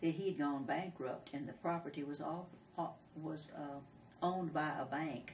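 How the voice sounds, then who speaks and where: A woman with a Texan accent and a very deep, low pitch speaks at a moderate pace with fairly even intonation and long, frequent pauses, amid audible room echo and noticeable background noise. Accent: Texan Southern US. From Texas, Falls County. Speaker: oral history interviewee. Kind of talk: oral history interview. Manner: halting, hesitant with repetitions.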